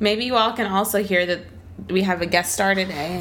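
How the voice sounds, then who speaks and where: Noticeable background noise sits under the speech. The voice is a woman's. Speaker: podcast co-host. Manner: animated, humorous.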